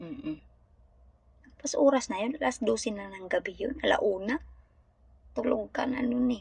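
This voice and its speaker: A woman with a high voice talks at a moderate pace, her intonation lively, her loudness swinging widely, and her speech broken by long, frequent pauses. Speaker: domestic helper vlogger. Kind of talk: casual vlog monologue. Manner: halting.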